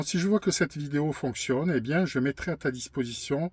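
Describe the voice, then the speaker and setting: Fairly high-pitched and somewhat breathy, a man speaks at a moderate pace with ordinary pitch variation, recorded very cleanly against a silent background with a dry, close sound and no echo. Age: 50s. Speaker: YouTuber sharing personal testimony. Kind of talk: personal testimony monologue. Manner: halting, frequent hesitations and repetitions.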